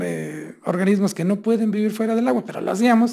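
Against a quiet background, a man with a dark, mellow tone talks at a fairly quick pace with ordinary pitch variation. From Mexico, Hidalgo (Mineral de la Reforma); Hidalgo, Mexico. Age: 50s. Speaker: state tourism official; speaker. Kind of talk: lecture. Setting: university seminar. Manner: conversational with frequent fillers. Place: hall. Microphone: podium.

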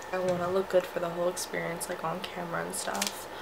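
A woman speaks amid noticeable background noise. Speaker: new vlogger. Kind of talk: casual vlog chat. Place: home room. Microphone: phone near.

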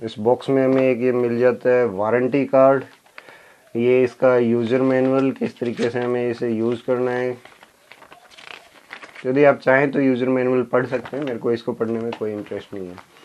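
A man speaks at a fairly slow pace in a monotone, flat intonation, with light background noise. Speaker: tech youtuber. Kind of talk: unboxing review. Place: home room.

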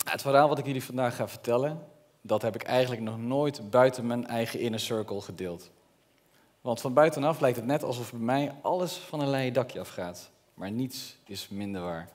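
The speaker is a man with a medium pitch. He talks at a moderate pace with ordinary pitch variation. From Netherlands, Brabant; Netherlands. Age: 30s. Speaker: entrepreneur. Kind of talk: public speech. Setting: stage with audience. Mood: earnest, personal storytelling. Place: stage. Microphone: headset.

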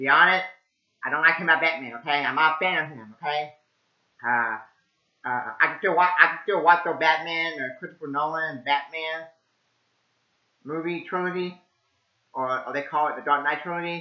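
A man with fairly even intonation, in a quiet background with audible room echo. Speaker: amateur movie reviewer. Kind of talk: casual vlog chat. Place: home room. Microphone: webcam.

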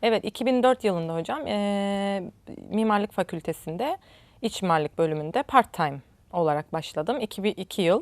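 A plain, everyday voice speaks at a fairly slow pace with lively intonation. The sound is dry and close, with no echo. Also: woman, medium pitch for a woman, very clean recording, silent background. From Northern Cyprus, Nicosia. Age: 40s. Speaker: ceramics lecturer. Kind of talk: interview.

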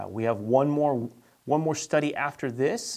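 A man speaking at a moderate pace against a quiet background. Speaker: church teacher. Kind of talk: bible study teaching. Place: studio. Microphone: lapel.

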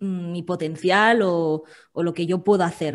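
A woman talks in an unremarkable speaking voice at medium pitch with ordinary pitch variation. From Valencia, Spain; Spain. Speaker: food-sector copywriter; podcast guest. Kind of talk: interview conversation. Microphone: video call.

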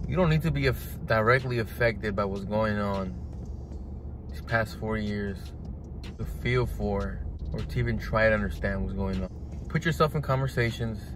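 Amid noticeable background noise, a man with a fairly low voice speaks at a moderate pace with very wide pitch swings, the sound dry with no echo. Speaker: vlogger. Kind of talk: casual vlog chat. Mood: earnest, urging. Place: car. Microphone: phone near.

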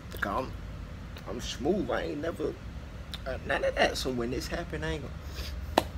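A man talks at a moderate pace. Loud background noise runs underneath. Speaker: vlogger or streamer. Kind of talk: casual vlog chat. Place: home room. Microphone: webcam.

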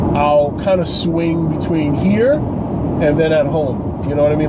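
A man's speech shows ordinary pitch variation while loud noise fills the background. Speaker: vlogger. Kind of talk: casual vlog chat. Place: car. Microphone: phone near.

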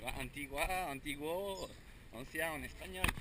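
The speech goes at a very slow pace over loud background noise. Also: man, dry sound with no echo. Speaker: vlogger filming himself. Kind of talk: casual vlog chat. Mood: cheerful, joking. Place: street. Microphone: phone near.

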